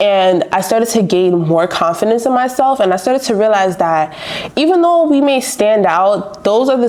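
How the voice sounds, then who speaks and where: A woman speaks in a New York accent at a moderate pace with ordinary pitch variation. Noticeable background noise is present. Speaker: university student. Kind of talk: documentary interview.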